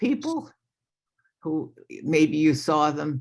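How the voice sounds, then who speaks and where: This woman's voice is very deep and low. She speaks at a very slow pace. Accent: New York. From New York, Long Island. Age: 70s. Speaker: retired lawyer sharing recovery story. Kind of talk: recovery testimony at online meeting. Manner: hesitant, many fillers.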